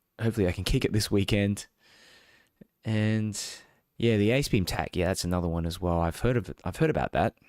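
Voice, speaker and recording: Speaking in an Australian accent at a fairly quick pace, a man with fairly low pitch and ordinary pitch variation leaves long, frequent pauses. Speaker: tech reviewer, live streamer. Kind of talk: live stream unboxing and chat. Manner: casual, hesitant with fillers.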